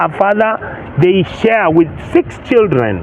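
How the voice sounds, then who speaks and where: A man speaks in an animated tone at a high pitch. Noticeable background noise runs underneath. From Kenya. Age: 60s. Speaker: senator. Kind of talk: interview.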